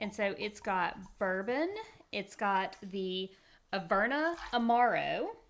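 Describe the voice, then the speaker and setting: Speaking very slowly in a Southern US accent, a woman uses lively intonation at a medium pitch. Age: 40s. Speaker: podcast host. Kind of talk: casual chat.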